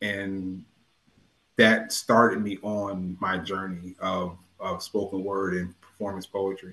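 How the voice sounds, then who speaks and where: Speaking very slowly with an American accent, a man uses a fairly low voice with a bright, sharp tone and a monotone, flat intonation. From US Northeast, New Haven, Connecticut. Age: 40s. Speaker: poet laureate and nurse. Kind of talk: interview.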